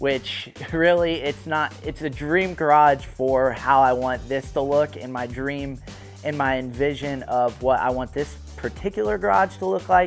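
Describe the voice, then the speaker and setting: A man at a fairly slow pace, with faint music in the background. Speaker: channel host. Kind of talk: casual vlog chat. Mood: excited, playful. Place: garage. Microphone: lapel.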